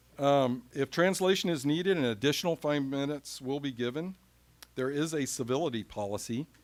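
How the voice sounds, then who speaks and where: A plain, everyday voice from a man with an American accent, fairly high in pitch, with ordinary pitch variation and a fairly quick pace. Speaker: school board president chairing meeting. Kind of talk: chairing formal meeting. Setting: school board meeting room.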